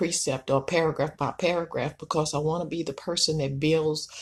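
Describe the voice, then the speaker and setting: A woman with a very deep, low pitch and a somewhat breathy voice speaks with fairly even intonation against a quiet background. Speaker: self-published author and entrepreneur. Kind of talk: video talk promoting own book. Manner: hesitant with many fillers.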